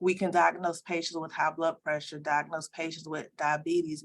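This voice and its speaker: This woman speaks in a monotone at a moderate pace, her pitch fairly low. She has an American accent. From US South, Columbia, South Carolina. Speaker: optometry school dean. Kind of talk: interview.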